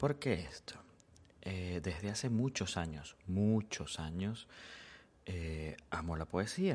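Very deep and low, a man's voice moves with lively intonation at a very slow pace, with long, frequent pauses against a quiet background. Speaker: podcast host and amateur poet. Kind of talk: poem read aloud, performed as a heartfelt love poem. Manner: slow, emotional, wistful, tender.

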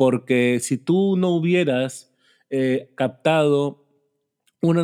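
The man has a fairly high pitch and a dark, mellow tone. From Peru. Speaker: podcast host. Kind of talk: casual interview.

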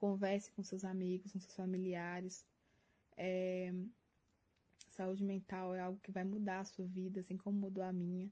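A woman speaks at a moderate pace with a medium pitch and a dark, mellow, somewhat breathy tone. Her intonation is monotone and flat, and her pauses are long and frequent. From Minas Gerais, Brazil. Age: 20s. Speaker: university physics student. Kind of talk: prepared testimony.

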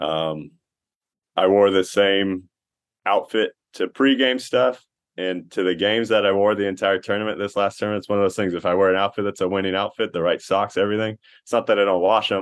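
Fairly quick and fairly even in intonation, a man with an American accent speaks in an ordinary speaking voice at a fairly low pitch. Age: 30s. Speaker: baseball pitcher. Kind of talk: casual interview.

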